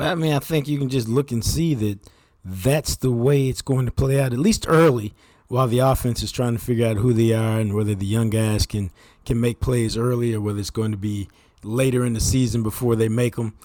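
At a fairly quick pace, a man with an American accent speaks at a medium pitch with ordinary pitch variation and a dark, mellow tone, in a very clean recording with a silent background. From Texas, Dallas-Fort Worth. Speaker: sports journalist. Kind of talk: casual chat.

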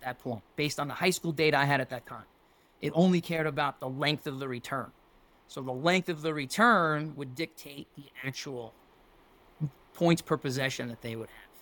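A man's fairly high, plain, everyday voice in an American accent, at a moderate pace with ordinary pitch variation and big swings in loudness. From New York City, Staten Island. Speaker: football coach. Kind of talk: casual chat.

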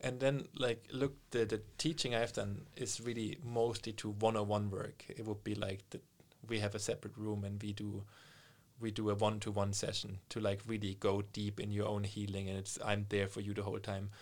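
A man speaks with a German accent at a fairly low pitch. His intonation is monotone and flat, and his pace is moderate. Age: 30s. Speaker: meditation coach and yoga teacher. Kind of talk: casual interview.

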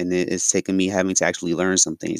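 At a very fast pace, a man with a very deep, low pitch speaks in a dry, close sound with no echo on a very clean recording with a silent background. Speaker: podcast host, fitness business owner. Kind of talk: solo monologue.

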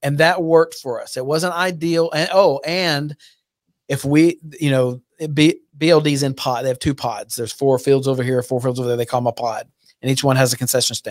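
Here is a man with an unremarkable speaking voice, fairly high in pitch with ordinary variation. He talks at a fairly quick pace on a very clean recording with a silent background. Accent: American. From Texas, Fort Worth area. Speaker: youth baseball league president. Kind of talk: casual chat.

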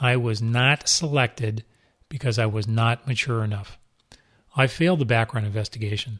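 A man with an American accent and an ordinary speaking voice, medium pitch, ordinary pitch variation and a moderate pace. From Southern California. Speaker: retired police deputy chief, podcast host. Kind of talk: scripted narration.

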